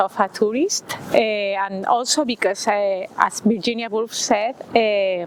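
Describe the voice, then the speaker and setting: A woman with a Spanish accent speaks fairly slowly in a fairly high voice, with fairly even intonation. She takes hardly any pauses, and noticeable background noise is present. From Spain. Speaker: writer. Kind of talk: interview. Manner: halting, many fillers.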